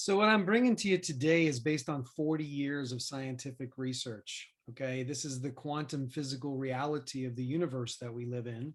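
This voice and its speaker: In an ordinary speaking voice, a man with a fairly high pitch and ordinary pitch variation talks at a fairly quick pace on a very clean recording with a silent background. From US Northeast, Queens, New York City. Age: 50s. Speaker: business coach and speaker. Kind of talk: podcast interview.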